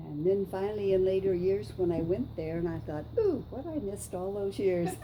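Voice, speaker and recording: Speaking at a moderate pace with an American accent, a woman has a medium pitch and ordinary pitch variation, with noticeable background noise and audible room echo. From Southern California. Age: 80s+. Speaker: interviewee recalling World War Two. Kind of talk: oral history interview. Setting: on camera.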